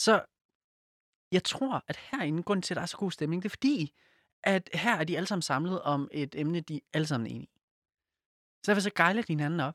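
In a very clean recording with a silent background, a man with a high pitch talks at a fairly quick pace with lively intonation and long, frequent pauses. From Silkeborg, Jutland. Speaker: podcast co-host. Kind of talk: casual chat; reading aloud.

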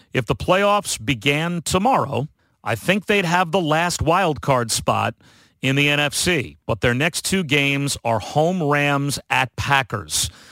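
In a very clean recording with a silent background, a man talks at a fairly slow pace in a fairly high pitch, with a bright, sharp tone and very even loudness. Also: lively intonation. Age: 50s. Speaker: sportscaster and podcast host. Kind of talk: casual sports analysis chat.

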